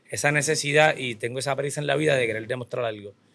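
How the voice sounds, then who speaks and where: Vocal fry marks a man's bright, sharp voice. He talks at a fairly quick pace. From Puerto Rico. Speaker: business owner and trainer. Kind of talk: interview.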